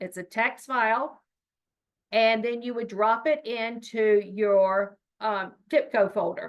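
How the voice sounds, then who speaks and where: Speaking at a fairly slow pace, a woman uses an unremarkable speaking voice pitched fairly high. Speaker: state education data trainer. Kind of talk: training webinar presentation.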